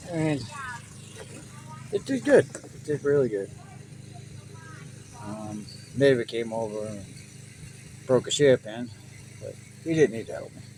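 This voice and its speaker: A man of medium pitch talks at a fairly slow pace, with ordinary variation in pitch, as noticeable noise sounds behind him. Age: 50s. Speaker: DIY vlogger. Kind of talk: casual vlog monologue. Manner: casual, hesitant with fillers.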